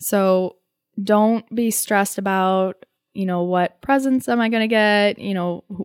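A woman with a normal speaking voice talks at a moderate pace and a fairly high pitch. The recording is very clean, with a silent background. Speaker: college student. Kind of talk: casual chat.

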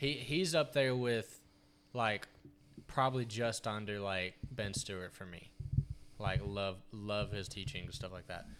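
A man's unremarkable speaking voice, fairly low in pitch with ordinary variation, at a fairly slow pace with big swings in loudness. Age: 20s. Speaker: podcast co-host. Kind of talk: casual chat.

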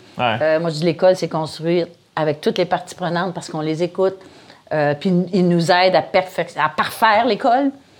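The woman has a plain, everyday voice with ordinary pitch variation. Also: fairly low pitch for a woman, moderate pace. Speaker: founder and director of a comedy school. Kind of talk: casual interview.

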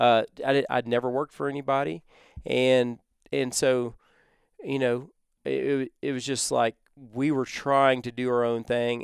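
This man talks at a moderate pace and medium pitch with fairly even intonation. The very clean recording has a silent background and a dry, close sound with no echo. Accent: Texan. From Texas. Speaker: company co-founder. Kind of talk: casual interview.

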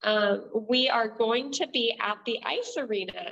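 Speaking at a fairly slow pace, a woman with an American accent has a bright, sharp tone and a fairly high pitch. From southern Oregon, Klamath Falls. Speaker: economic development project manager. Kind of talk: interview.

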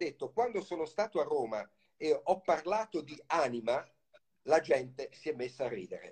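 This man has a high-pitched voice and lively intonation. He speaks at a fairly slow pace. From Italy, Livorno (Tuscany). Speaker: novelist. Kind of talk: interview.

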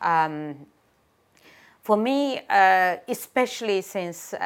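Over a silent background in a very clean recording, a woman with a Uyghur accent speaks very slowly at medium pitch with lively intonation. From Gulja, East Turkestan (Xinjiang). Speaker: human rights activist and singer. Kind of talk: interview answers about human rights. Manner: halting, many fillers.

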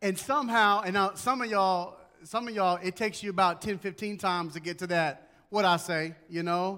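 A man speaks in a raised, projected voice that is high, bright and sharp, with ordinary pitch variation. The recording is very clean, with a silent background. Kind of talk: sermon. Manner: emphatic, repeating key phrases for memory; fervent, pastoral, warm.

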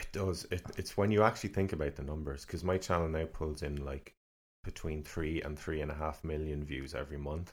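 Speaking with a Cork accent, a man has a very deep, low pitch. He talks at a fairly quick pace with fairly even intonation. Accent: Cork Irish. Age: 30s. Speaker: independent musician. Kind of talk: casual chat. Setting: studio.

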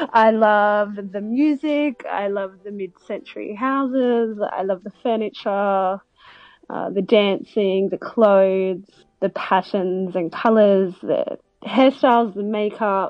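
Speaking very slowly, a woman uses an Australian accent at a medium pitch with ordinary pitch variation. Her loudness swings widely. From Melbourne, Australia. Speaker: vintage seller. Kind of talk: interview. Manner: hesitant, many fillers.

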